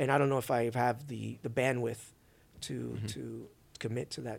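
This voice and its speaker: At a fairly quick pace, a man with an American accent speaks at a medium pitch with fairly even intonation and vocal fry. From Brooklyn, New York. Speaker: sneaker YouTuber turned crypto investor. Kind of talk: casual interview chat.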